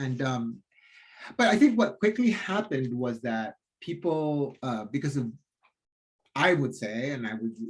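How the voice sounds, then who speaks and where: At a moderate pace, a man with a fairly high, somewhat breathy voice swings his pitch very widely and leaves long, frequent pauses. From Philippines (Cebu). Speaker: theatre designer. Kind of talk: interview conversation. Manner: halting, many fillers and restarts.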